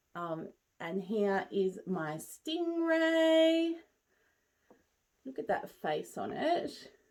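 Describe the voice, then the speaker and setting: Speaking at a very slow pace, a woman with an Australian accent leaves long, frequent pauses. Her fairly high voice swings very widely in pitch. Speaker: crochet maker and market seller. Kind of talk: casual vlog show and tell. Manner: relaxed, hesitant.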